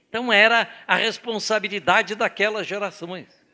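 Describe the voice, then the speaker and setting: A man speaks in a high-pitched, raised and projected voice. His tone is bright and sharp. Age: 80s+. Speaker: organization president, seminar speaker. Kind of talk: seminar talk.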